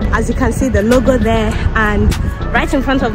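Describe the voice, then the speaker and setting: A woman speaks at a moderate pace in a dry sound with no echo. Music is clearly heard behind her. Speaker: vlogger. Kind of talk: casual vlog chat. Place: street. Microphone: phone near.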